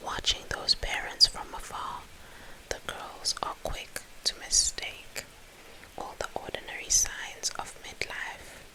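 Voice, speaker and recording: Whispering at a very slow pace comes through over noticeable background noise. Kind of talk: soft whispered ASMR book reading to help sleep. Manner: whispered, soft.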